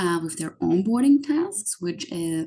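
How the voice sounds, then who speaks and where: This woman's voice has a dark, mellow tone with a somewhat breathy quality. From Austria. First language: German. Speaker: YouTuber explaining US systems to immigrants. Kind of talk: informal explainer video. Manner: frequent filler words (um, like).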